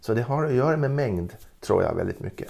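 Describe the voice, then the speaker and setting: His tone dark and mellow, a man speaks with lively intonation. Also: very clean recording, silent background. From Gotland, Sweden. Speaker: retired ethnology professor. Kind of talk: interview. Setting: at home. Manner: halting.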